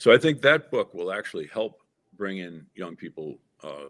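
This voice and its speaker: Using an unremarkable speaking voice, a man talks at a fairly quick pace with fairly low pitch. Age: 60s. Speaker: political candidate and author. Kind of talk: interview.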